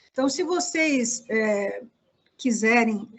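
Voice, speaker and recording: A woman's fairly high-pitched voice. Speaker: project evaluation consultant. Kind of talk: online workshop presentation. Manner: didactic, many fillers.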